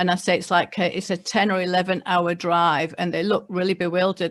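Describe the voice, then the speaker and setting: A woman's fairly low voice with monotone, flat intonation. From England. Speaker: local government mayor. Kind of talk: prepared speech. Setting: online webinar. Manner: reading from notes.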